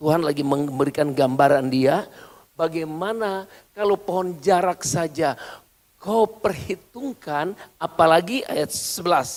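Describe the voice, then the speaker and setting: A man with a high voice speaks at a fairly slow pace, his pitch varying in an ordinary way. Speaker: pastor. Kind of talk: sermon. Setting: church. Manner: animated.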